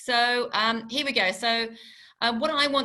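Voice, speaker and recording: A woman talks in a bright, sharp tone. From Channel Islands. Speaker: tourism representative. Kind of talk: webinar presentation.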